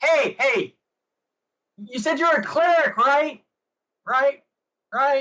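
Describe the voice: In a put-on character voice with a high pitch, the speaker goes very slowly with long, frequent pauses.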